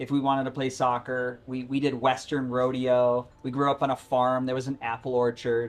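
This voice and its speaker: At a moderate pace and with hardly any pauses, a man with an American accent speaks at a medium pitch. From Rochester, New York area, US. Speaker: former Broadway performer, cancer survivor, health coach. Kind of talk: live talk interview before an audience. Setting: outdoor live event with audience. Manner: animated; loud, projected.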